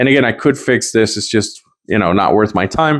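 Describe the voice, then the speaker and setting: Medium-pitched male speech at a moderate pace, with ordinary pitch variation. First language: not English. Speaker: guitar gear reviewer. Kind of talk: product review. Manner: casual, hesitant with fillers.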